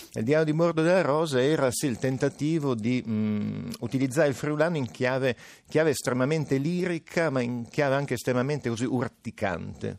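A man with a Piedmontese accent at a fairly quick pace. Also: medium pitch for a man, ordinary pitch variation, quiet background. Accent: Alessandria, Piedmontese r. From northern Italy, Alessandria (Piedmont). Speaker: linguist and writer. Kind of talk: radio interview. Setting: remote link from radio studio.

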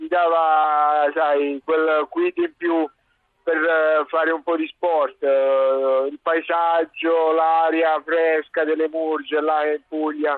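A man speaks in a fairly high pitch with a monotone, flat intonation. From Apulia, southern Italy (Terlizzi, Bari). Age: 40s. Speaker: Paralympic handbike champion. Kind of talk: radio interview.

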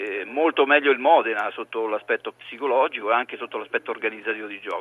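Speaking very fast, a man at medium pitch leaves hardly any pauses. His loudness swings widely while his pitch varies ordinarily. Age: 50s. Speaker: former footballer and football pundit. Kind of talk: phone-in football commentary chat.

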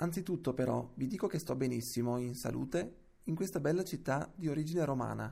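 A man's somewhat breathy voice, dark and mellow in tone, at a moderate pace. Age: 30s. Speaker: reader of historical letters. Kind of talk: reading aloud.

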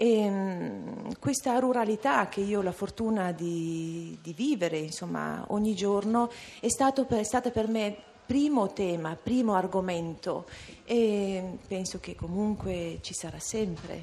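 Speaking with a Dolomites accent, a woman talks at a very slow pace with a medium pitch and ordinary pitch variation. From Val Badia, South Tyrol, Italy. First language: Ladin (speaking Italian). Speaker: poet. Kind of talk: interview. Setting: live broadcast at a literature festival. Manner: halting.

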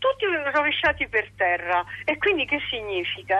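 Here a woman speaks at a moderate pace. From Rome, Italy. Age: old. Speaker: radio caller. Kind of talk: casual chat.

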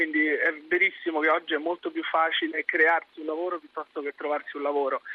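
In a flat monotone, a man with a fairly high voice speaks at a fairly quick pace. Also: hardly any pauses. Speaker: startup founder. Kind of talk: radio interview.

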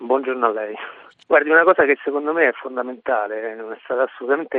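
The man's medium-pitched voice rushes along at a very fast pace, with ordinary pitch variation. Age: 40s. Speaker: PhD student caller. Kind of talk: testimony.

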